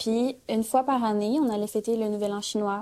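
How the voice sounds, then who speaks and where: Her voice has a dark, mellow tone and a fairly high pitch as the woman speaks at a moderate pace with fairly even intonation. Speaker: granddaughter of immigrant. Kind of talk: casual chat.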